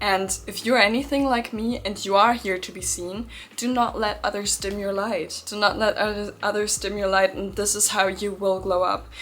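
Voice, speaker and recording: Amid noticeable background noise, a woman talks at a moderate pace and medium pitch, with fairly even intonation and hardly any pauses. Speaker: manifestation youtuber. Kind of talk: pep talk. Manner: loud.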